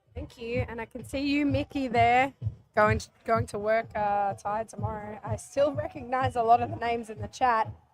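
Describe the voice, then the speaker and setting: A woman with an Australian accent talks at a moderate pace with big swings in loudness as music plays in the background. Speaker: livestream commentator. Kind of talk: live commentary.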